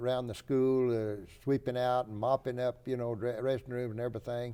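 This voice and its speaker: A man with a Texan accent speaks at a moderate pace and medium pitch. His tone is dark and mellow, his intonation monotone and flat. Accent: Texan Southern American. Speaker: World War II Marine veteran, retired high school football coach. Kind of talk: interview answer. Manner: hesitant, halting.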